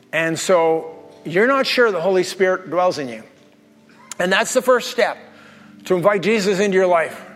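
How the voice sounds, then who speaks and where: A high-pitched man at a moderate pace, animated in tone, with ordinary pitch variation and music in the background. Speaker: pastor. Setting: church with live congregation. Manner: animated, humorous, conversational preacher; fervent, commanding, urgent, intense and impassioned in prayer.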